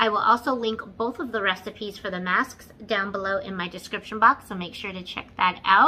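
A woman talks at a moderate pace with fairly even intonation. Light background noise is present. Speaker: beauty vlogger. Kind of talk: casual vlog chat. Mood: slightly hurried. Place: home room. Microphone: phone near.

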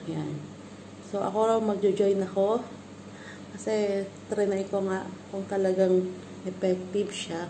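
A woman speaks at medium pitch and a fairly slow pace, in a monotone, flat intonation, with long, frequent pauses over noticeable background noise. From Philippines. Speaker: vlogger. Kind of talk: product review vlog. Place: home room. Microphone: phone near.

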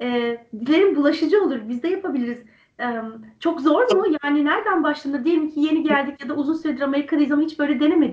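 A woman speaks very fast at a high pitch, with ordinary pitch variation. The background is quiet, though audible room echo can be heard. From Turkey. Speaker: interview host. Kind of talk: online interview. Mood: warm, smiling, friendly. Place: home room. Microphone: video call.

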